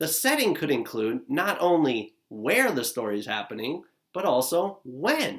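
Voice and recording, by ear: A man speaks at a fairly high pitch with big pitch swings. His pace is fairly slow, and his voice has a slightly husky edge.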